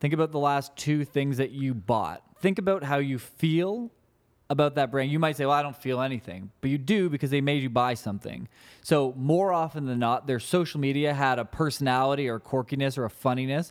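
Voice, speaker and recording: In a very clean recording with a silent background, a man with an ordinary speaking voice talks at a fairly quick pace, with fairly high pitch and ordinary pitch variation. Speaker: social media marketing business owner. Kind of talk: casual interview.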